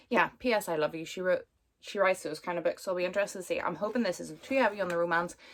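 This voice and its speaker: A woman's medium-pitched voice with a Northern Irish accent. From Northern Ireland, Belfast. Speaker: booktuber. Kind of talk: casual chat. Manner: chatty, filler-heavy.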